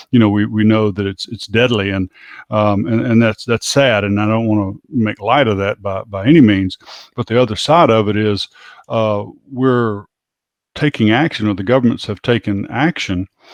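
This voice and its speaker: Speaking at a moderate pace in an American accent, a man at a medium pitch shows ordinary pitch variation, the sound dry and close with no echo against a quiet background. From United States. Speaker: podcast co-host. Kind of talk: casual chat. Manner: halting, many fillers.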